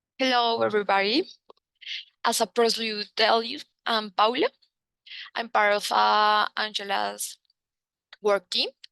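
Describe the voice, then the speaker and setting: Speaking with a Spanish accent, a woman uses a bright, sharp tone at a fairly high pitch, moving at a fairly slow pace with fairly even intonation and long, frequent pauses in a dry, close sound with no echo. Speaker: researcher presenting. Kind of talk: presentation.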